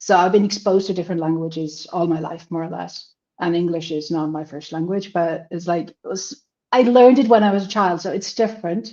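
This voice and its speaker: The speaker has a Finnish accent and a dark, mellow tone, talking at a fairly quick pace. Loudness swings widely while pitch variation stays ordinary. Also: woman, fairly low pitch for a woman. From Finland. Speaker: language student. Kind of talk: interview. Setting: livestream.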